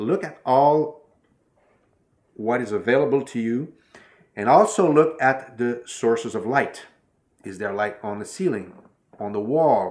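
A man speaks at a fairly slow pace with lively intonation. His loudness swings widely, and he takes long, frequent pauses. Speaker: filmmaking tutor. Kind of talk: tutorial. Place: home room.

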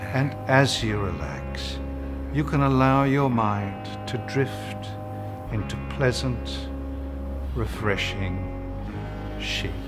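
The delivery is very slow, broken by long, frequent pauses. Loud background noise runs underneath. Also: man. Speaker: actor. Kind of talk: parody relaxation tape read. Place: bar.

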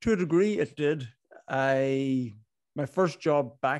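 A man with a Donegal accent speaks against a quiet background, the sound dry with no echo. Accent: Donegal Irish accent, sounds Northern Irish. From Ireland, Inishowen, Donegal. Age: 30s. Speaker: business owner, club founder. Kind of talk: podcast interview. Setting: video call. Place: home room. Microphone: studio mic.

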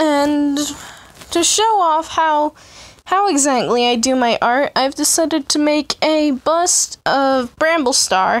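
At a very slow pace, a woman speaks in a high pitch with very even loudness. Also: ordinary pitch variation. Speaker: amateur artist. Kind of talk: casual drawing process commentary. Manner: stuttering, often cutting self off.

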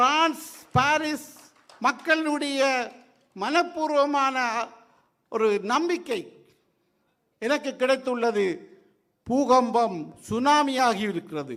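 A man with a Sri Lankan accent speaks at an extremely high pitch in a bright, sharp tone with ordinary pitch variation. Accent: Sri Lankan Tamil. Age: 60s. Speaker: retired judge. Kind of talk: public speech.

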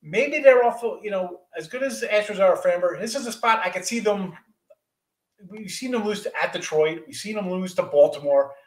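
A man speaks at a moderate pace. There is audible room echo, but the background is quiet. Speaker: guest. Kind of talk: commentary. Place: home room. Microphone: video call.

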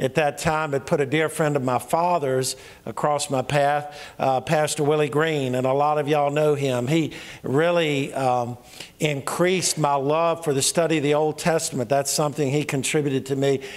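At a moderate pace, a man speaks with monotone, flat intonation and very even loudness. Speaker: pastor. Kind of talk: sermon. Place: church. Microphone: handheld.

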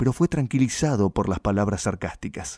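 A man's dark, mellow voice in a very clean recording with a silent background. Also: dry, close sound with no echo. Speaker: audiobook narrator. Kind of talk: dramatic literary narration of a violent gaucho knife-fight tale. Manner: slow, suspenseful build toward a gory climax; voices rural gaucho dialogue in rustic speech.

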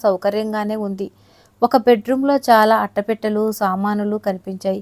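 The sound is dry and close with no echo as a woman speaks at medium pitch with a dark, mellow tone. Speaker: audio story narrator. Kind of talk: reading aloud a story.

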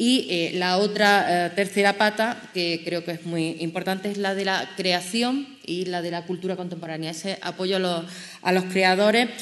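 A woman's medium-pitched voice moves fairly slowly, and her intonation stays fairly even. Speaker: politician. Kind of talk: panel presentation. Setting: stage with audience. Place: hall. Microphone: handheld.

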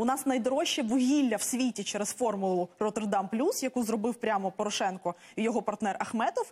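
Here a woman is talking. Her pace is fairly quick, with ordinary pitch variation. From Ukraine. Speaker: member of parliament. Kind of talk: heated debate. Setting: studio. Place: studio. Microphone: lapel.

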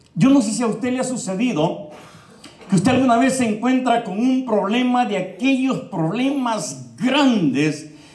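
Audible room echo surrounds the voice. A man speaks at a moderate pace. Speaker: preacher. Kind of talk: sermon. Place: church. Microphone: handheld.

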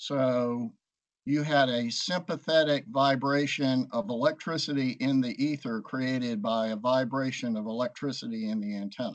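A man talks at a medium speed, his pitch rising and falling in a normal way, with little sound behind him. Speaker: science discussion participant. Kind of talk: group discussion. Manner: halting. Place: home room. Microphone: video call.

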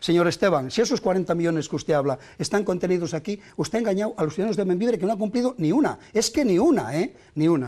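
A dark, mellow voice at a very fast pace with lively intonation, hardly any pauses and a quiet background. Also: man, high pitch for a man. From not from the town, from elsewhere in Spain. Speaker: mayoral candidate; candidate. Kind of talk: heated debate. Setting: TV studio. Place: studio. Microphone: lapel.

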